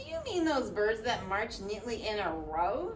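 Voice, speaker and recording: A put-on character voice that sounds female comes through over clear background noise. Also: fairly high pitch for a woman, moderate pace. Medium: read story. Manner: loud, hearty.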